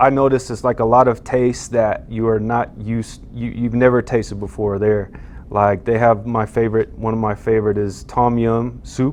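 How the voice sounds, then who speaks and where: A man with an American accent, monotone and flat in intonation, at a moderate pace. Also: medium pitch for a man. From US, Twin Falls, Idaho. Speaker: professional basketball player. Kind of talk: interview.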